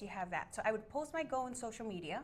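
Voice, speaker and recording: A woman with a Miami accent and a fairly high pitch sounds bubbly, her intonation lively. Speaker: real estate agent. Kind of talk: interview.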